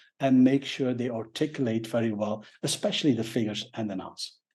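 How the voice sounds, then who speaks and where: In a Flemish accent, a man speaks at a fairly quick pace. His medium-pitched voice keeps a fairly even intonation. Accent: Belgian (Flemish) English. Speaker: professional speaker. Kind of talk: interview. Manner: hesitant, many fillers.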